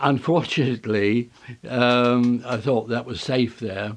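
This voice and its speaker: A man of medium pitch talks at a very slow pace, leaving long, frequent pauses. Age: 80s+. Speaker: tapestry designer. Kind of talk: interview answer. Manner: hesitant.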